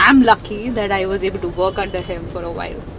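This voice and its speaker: Over noticeable background noise, a woman talks fairly quickly with a medium pitch and ordinary pitch variation. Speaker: information security executive. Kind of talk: interview. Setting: outdoors.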